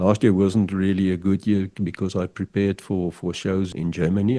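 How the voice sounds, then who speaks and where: A dark, mellow voice with a South African accent, recorded dry and close with no echo. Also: man. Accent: South African (Afrikaans). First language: Afrikaans. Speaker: pigeon fancier and figurine artist. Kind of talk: podcast interview. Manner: halting, repeats words.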